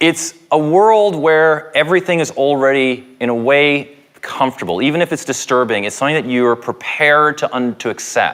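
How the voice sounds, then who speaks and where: At a moderate pace with hardly any pauses, a man speaks with ordinary pitch variation. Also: fairly high pitch for a man. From Canada. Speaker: professor. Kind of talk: public lecture.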